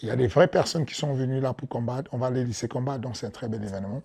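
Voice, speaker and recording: A man's somewhat breathy, fairly high-pitched voice in a strong African accent. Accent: thick African. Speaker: MMA coach and promoter. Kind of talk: interview. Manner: hesitant, repeats words.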